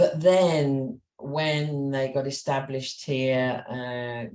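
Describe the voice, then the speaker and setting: With a Cumbrian accent, a woman speaks at a very slow pace in a very deep, low pitch, her tone dark and mellow and her pitch variation ordinary. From Carlisle, Cumbria, with years in Kent. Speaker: business owner. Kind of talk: interview.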